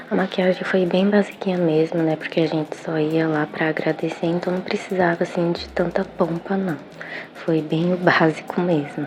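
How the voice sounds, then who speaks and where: This woman's voice is fairly low in pitch, her intonation is fairly even, and noticeable background noise is present. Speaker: lifestyle vlogger. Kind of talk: vlog narration. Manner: soft-spoken, talking quietly.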